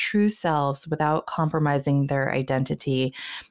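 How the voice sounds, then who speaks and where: In a very clean recording with a silent background, a woman with a very deep, low pitch speaks at a moderate pace. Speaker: podcast host. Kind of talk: interview.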